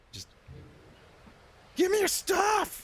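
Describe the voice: Here a man uses a put-on character voice. His pitch sits extremely high.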